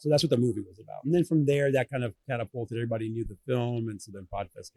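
Very fast, somewhat breathy speech comes from a man of medium pitch. His tone is dark and mellow, the sound dry and close with no echo. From Venezuela, raised in Southern California and Orlando. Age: 40s. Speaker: video producer and business owner. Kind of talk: casual interview. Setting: busy conference hall. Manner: animated.

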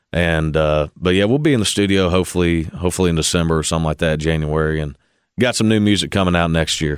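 A man with a Kentucky accent talks at a very fast pace with a very deep, low pitch and ordinary pitch variation. The loudness stays very even in a very clean recording with a silent background. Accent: Kentucky Southern US. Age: 20s. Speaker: country singer. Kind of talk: interview. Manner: halting, many fillers and repeats.

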